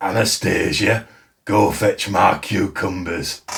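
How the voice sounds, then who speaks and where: A raspy, put-on character voice speaks at a fairly slow pace with fairly even intonation, music playing in the background. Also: man, fairly low pitch for a man. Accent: Yorkshire. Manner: bad, teasing.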